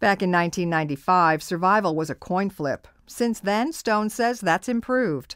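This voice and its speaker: A woman's normal speaking voice at a medium pitch, moderate pace and lively intonation. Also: hardly any pauses. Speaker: radio broadcaster. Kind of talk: radio health news narration.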